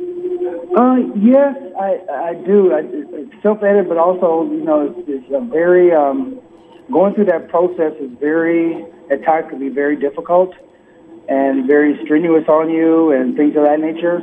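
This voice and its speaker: A man with an American accent, high pitch and lively intonation at a fairly slow pace, with noticeable background noise. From US Midwest, Peoria, Illinois. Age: 50s. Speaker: author and performer. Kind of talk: interview. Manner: halting, many fillers.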